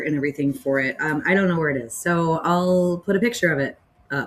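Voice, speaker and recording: The speaker is a woman. Her pitch moves with ordinary variation. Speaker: knitter and crafter. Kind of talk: casual talk to camera. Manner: hesitant, many filler words.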